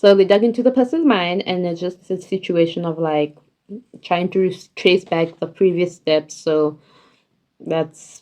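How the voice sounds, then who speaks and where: Speaking in a fairly low register, a woman keeps to a moderate tempo and ordinary pitch movement. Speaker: vlogger. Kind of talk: casual TV series ranking monologue. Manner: casual, hesitant with fillers.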